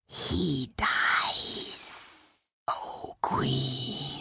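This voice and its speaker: A put-on character voice, growling and whispering. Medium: audio drama. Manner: whispering, groveling.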